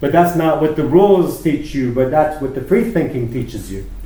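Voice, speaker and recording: A man with a Canadian accent talks at a fairly quick pace in a fairly high pitch, with ordinary pitch variation. Audible room echo and noticeable background noise surround his voice. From Canada, Toronto. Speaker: hairdresser. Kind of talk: casual chat.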